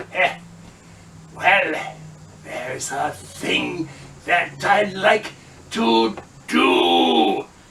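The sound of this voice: A man puts on a character voice. He goes at a very slow pace with long, frequent pauses.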